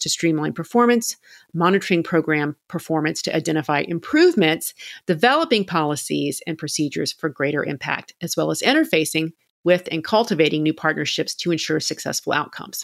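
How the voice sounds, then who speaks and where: A woman uses a normal speaking voice, with a dry, close sound free of echo on a very clean recording over a silent background. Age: 50s. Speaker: podcast host and confidence coach. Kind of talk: interview conversation.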